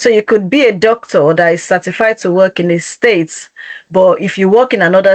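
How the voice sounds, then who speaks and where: A plain, everyday voice from a woman, medium in pitch, moderate in speed, and ordinary in pitch variation. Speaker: career coach presenting a webinar. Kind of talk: webinar presentation.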